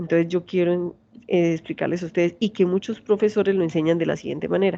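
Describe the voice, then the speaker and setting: Her tone dark and mellow, a woman speaks in a fairly low pitch. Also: quiet background. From Colombia, Santander. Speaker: university lecturer. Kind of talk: lecture. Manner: fast.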